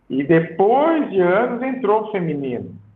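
Very wide pitch swings mark this man's speech, heard with audible room echo. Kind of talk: podcast interview. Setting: live stream on phone. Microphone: phone audio without headset.

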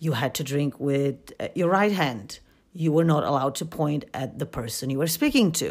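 On a very clean recording with a silent background, a woman with a very deep, low voice talks at a moderate pace with ordinary pitch variation. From Poland. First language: Polish. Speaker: podcaster and university student. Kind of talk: scripted solo podcast narration.

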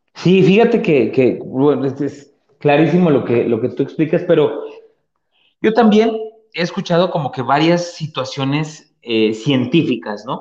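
Speaking at a fairly slow pace, a man with a fairly high pitch and a dark, mellow tone uses lively intonation. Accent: central Mexican. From Mexico, Puebla (Atlixco). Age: 30s. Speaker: podcast host. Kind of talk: casual chat. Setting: live stream with remote co-hosts.

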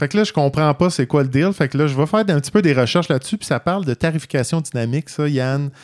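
A man with a fairly high pitch talks very fast, his pitch varying in an ordinary way. The sound is dry and close, with no echo. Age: 40s. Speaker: podcast co-host. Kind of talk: casual chat.

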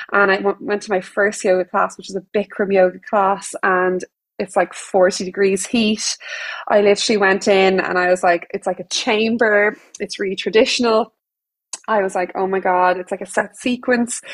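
A woman with an Irish accent, medium in pitch, at a moderate pace with fairly even intonation, in a dry, close sound with no echo. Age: 30s. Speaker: yoga teacher. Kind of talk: casual chat.

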